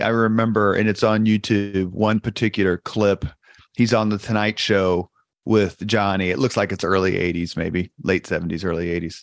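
A man with an American accent at a moderate pace and fairly even intonation, sounding dry and close with no echo, over a quiet background. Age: 50s. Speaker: podcast host, public relations owner. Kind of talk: interview.

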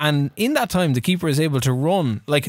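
Speaking in an Irish accent, this voice keeps a moderate pace. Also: man. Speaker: podcast host. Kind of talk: casual banter. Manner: jokey, bantering.

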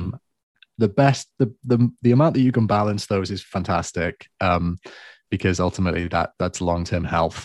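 Dry and close with no echo, a man's very deep, low voice carries an American accent at a moderate pace with ordinary pitch variation. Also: quiet background. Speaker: marketing growth head. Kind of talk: casual interview.

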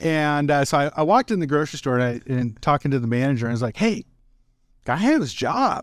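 Speaking with an American accent at a very fast pace, the voice has lively intonation in a very clean recording with a silent background. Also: man, fairly high pitch for a man. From US Midwest, Wahoo, Nebraska. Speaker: accounting firm founder. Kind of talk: interview. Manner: halting.

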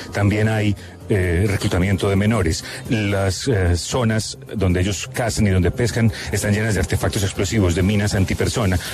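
Music plays in the background as a man talks at a moderate pace and fairly low pitch. His intonation is fairly even and his loudness very even. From Colombia. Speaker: radio reporter. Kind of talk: field reporting.

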